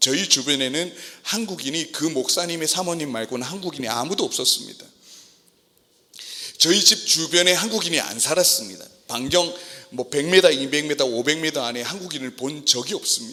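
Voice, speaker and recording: This man's voice is a normal speaking voice, pitched fairly high. He moves at a moderate pace with lively intonation. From South Korea. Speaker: missionary pastor. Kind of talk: sermon. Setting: church service.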